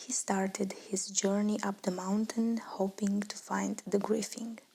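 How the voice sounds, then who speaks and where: A woman whispers, soft-spoken and somewhat breathy, in a gentle tone at a fairly slow pace. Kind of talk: ASMR bedtime story reading. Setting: quiet, close-mic ASMR recording. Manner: whispered, soft, gentle.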